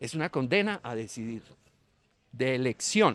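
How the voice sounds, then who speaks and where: On a very clean recording with a silent background, a man speaks at medium pitch with very wide pitch swings. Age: 60s. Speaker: teacher, panel guest. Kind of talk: panel discussion. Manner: halting, with fillers.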